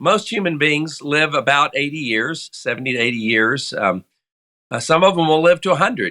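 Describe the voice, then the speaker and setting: A man's fairly high, bright and sharp voice with lively intonation at a moderate pace, on a very clean recording with a silent background. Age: 60s. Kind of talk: interview. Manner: measured, explanatory.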